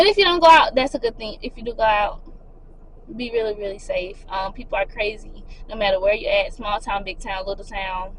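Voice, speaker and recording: Lively intonation from a fairly high-pitched woman, fairly quick pace, big swings in loudness, and noticeable background noise. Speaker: lifestyle vlogger. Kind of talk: casual advice vlog. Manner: fast.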